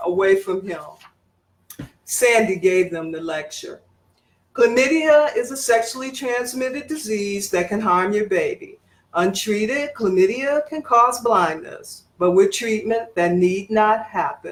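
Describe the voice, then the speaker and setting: Using an unremarkable speaking voice, a woman with an American accent talks fairly slowly at a fairly high pitch, her intonation lively. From Detroit, Michigan. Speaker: writer and English professor. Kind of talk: fiction reading.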